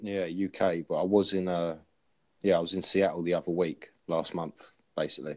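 A man's very deep, low voice in an English accent, monotone and flat, at a fairly quick pace. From England. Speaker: chat app user. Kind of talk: casual chat.

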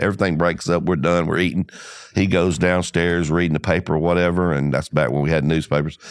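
A man with an Alabama accent, very deep and low in pitch, at a fairly quick pace. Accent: Southern US (Alabama). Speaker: insurance agency owner. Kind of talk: interview. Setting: studio.

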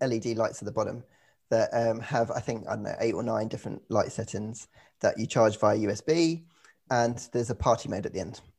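A somewhat breathy male voice at medium pitch, with ordinary pitch variation. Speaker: F1 journalist. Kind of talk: casual banter. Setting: remote recording, different time zones.

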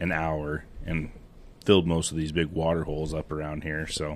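A man with an American accent talks at a moderate pace, leaving long, frequent pauses. His very deep, low voice stays monotone and flat. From western Montana. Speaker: grain elevator and feed store manager, hunter. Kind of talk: casual chat. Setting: basement of a house, in person.

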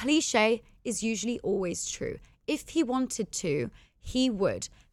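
A woman's animated, high-pitched delivery at a fairly slow pace, with very wide pitch swings. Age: 20s. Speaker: podcast host. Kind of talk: solo monologue podcast.

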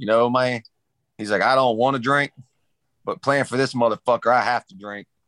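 Putting on a character voice in a Southern US accent, a man drawls at a moderate pace with medium pitch, fairly even intonation, and long, frequent pauses.

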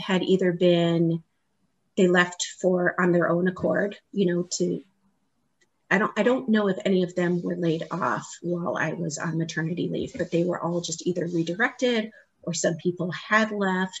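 A woman's fairly low pitch comes with fairly even intonation and a somewhat breathy quality. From Hawaii. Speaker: marketing entrepreneur. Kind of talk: interview.

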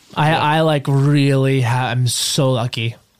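Speaking very slowly with an American accent, a man keeps his medium-pitched voice in fairly even intonation. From US Northeast, Long Island. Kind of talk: casual chat.

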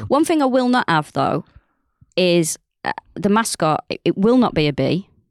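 A woman with a Mancunian accent speaks at medium pitch and moderate pace, with very wide pitch swings and long, frequent pauses. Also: dry, close sound with no echo. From North Manchester, England. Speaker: comedian and podcaster. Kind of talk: casual chat.

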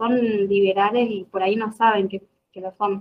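A woman at medium pitch with fairly even intonation. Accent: Argentine. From Argentina, Jujuy (north). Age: 20s. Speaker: law student and political activist. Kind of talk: interview conversation.

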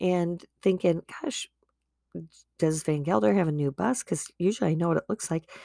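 A woman speaks at a moderate pace in a dry, close sound with no echo, on a very clean recording with a silent background. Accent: Midwestern. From US Midwest, Wisconsin. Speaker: podcast host. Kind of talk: personal monologue. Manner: casual, chatty.

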